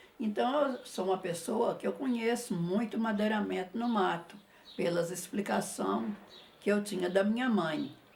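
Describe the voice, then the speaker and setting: Over noticeable background noise, a woman at medium pitch speaks at a fairly slow pace with ordinary pitch variation. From Jequitinhonha Valley, Minas Gerais, Brazil. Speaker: visual artist. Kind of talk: interview answer. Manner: shy, modest.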